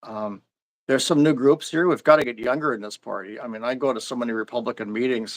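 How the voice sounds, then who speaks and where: This man speaks at a very fast pace with an Upper Midwest accent. His pitch is medium, with ordinary variation. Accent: Upper Midwest American. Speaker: local party official. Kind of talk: interview. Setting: live stream. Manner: halting, frequent restarts.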